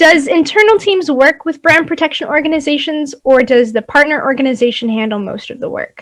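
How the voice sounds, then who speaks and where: A woman speaks at a high pitch and a fairly quick pace, with big swings in loudness and hardly any pauses. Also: lively intonation. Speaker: conference moderator. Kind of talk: live Q&A moderation. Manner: fast.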